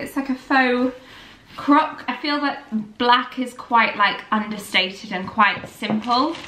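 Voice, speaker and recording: Raising and projecting her voice, a woman with a northern English accent speaks at a high pitch amid audible room echo. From northern England, near Manchester; northern England. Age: 20s. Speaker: lifestyle vlogger. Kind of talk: vlog narration. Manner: chatty, casual. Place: home room. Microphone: phone near.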